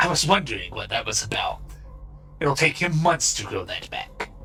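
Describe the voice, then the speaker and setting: A man's put-on character voice at a moderate pace, clear music in the background. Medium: actual play. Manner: chatty, haggling, a touch timid.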